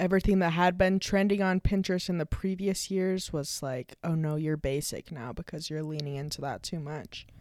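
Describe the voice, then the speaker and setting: A woman with an unremarkable speaking voice talks at a moderate pace with fairly low pitch, ordinary pitch variation and hardly any pauses, on a very clean recording with a silent background. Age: 20s. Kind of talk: casual chat. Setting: recording at home.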